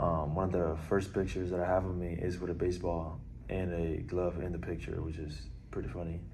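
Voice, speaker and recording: Very deep and low, a man's dark, mellow voice carries vocal fry and audible room echo. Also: fairly even intonation. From Puerto Rico, then Orlando, Florida from age 11. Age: 20s. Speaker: college baseball player. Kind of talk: interview. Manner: hesitant, many fillers.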